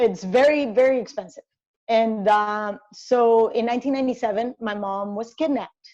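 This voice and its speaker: With a Spanish accent, a woman of fairly high pitch and dark, mellow tone speaks at a moderate pace with ordinary pitch variation. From Colombia, Cali. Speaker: sports journalist and commentator. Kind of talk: interview conversation.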